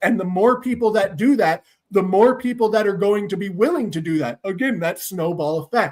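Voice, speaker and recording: A man shouting, loud and high-pitched, with lively intonation. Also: moderate pace. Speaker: political streamer host. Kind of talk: political rant with caller. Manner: loud, yelling; animated.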